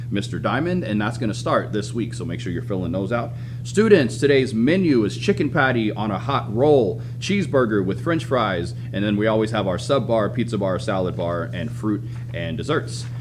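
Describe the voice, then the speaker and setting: A man speaks at a fairly quick pace, with audible room echo around his voice. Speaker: high school administrator. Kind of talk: school announcements. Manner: fast.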